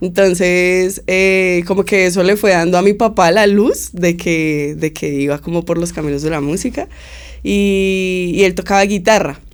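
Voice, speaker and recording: At a fairly slow pace, a woman speaks with fairly even intonation. Her pitch sits in the medium range. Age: 20s. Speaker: musician. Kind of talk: interview. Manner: casual, hesitant fillers.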